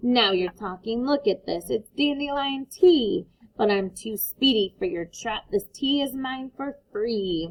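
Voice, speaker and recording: In a raised, projected voice, a female-sounding put-on character voice with a high pitch speaks at a fairly slow pace with hardly any pauses. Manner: gleeful, sly.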